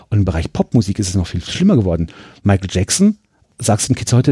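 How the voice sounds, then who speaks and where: A man speaks in a somewhat breathy voice with a dark, mellow tone and very wide pitch swings. The sound is dry and close, with no echo. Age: 30s. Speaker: museum press spokesman and retro gaming collector. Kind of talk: casual interview. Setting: pinball and arcade museum during an event.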